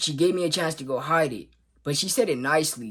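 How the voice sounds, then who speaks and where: Speaking at a moderate pace, a man uses an ordinary speaking voice, fairly high in pitch, with ordinary pitch variation. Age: young. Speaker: YouTuber. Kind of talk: casual storytime vlog.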